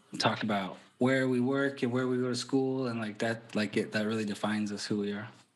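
A man with a normal speaking voice holds a medium pitch and fairly even intonation. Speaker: podcaster. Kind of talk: casual chat.

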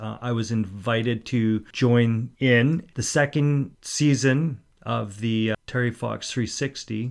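At a fairly slow pace, a man talks with a western Canadian accent, his medium pitch showing ordinary variation. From Port Coquitlam, British Columbia, Canada. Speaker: amateur cyclist. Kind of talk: interview. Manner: halting.

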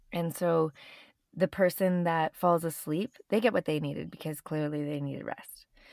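In a Canadian accent, a woman speaks at a moderate pace in an unremarkable speaking voice, fairly low in pitch and fairly even in intonation. The recording is very clean with a silent background and a dry, close sound with no echo. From Canada. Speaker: yoga teacher and astrologer. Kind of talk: podcast interview.

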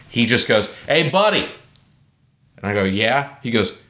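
With audible room echo, a bright, sharp voice moves at a moderate pace through very wide pitch swings. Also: man. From Alabama. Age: 20s. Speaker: comedian and musician. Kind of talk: casual interview chat.

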